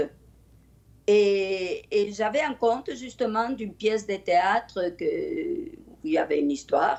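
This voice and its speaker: A very slow delivery with very wide pitch swings, in a Spanish accent. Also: woman. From Spain. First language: Spanish (speaking French). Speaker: storyteller. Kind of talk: interview.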